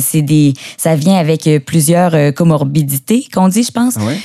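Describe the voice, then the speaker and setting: With a Quebec accent, a woman speaks in a raspy, fairly low voice of dark, mellow tone and lively intonation. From Quebec, Beauce. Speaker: actress and guest co-host. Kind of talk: casual chat.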